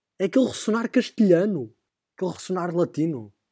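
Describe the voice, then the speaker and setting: In a European Portuguese accent, a man speaks at a moderate pace with lively intonation and a dark, mellow tone, the sound dry and close with no echo on a very clean recording with a silent background. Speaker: podcast host, university student. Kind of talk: casual comedic monologue. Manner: animated.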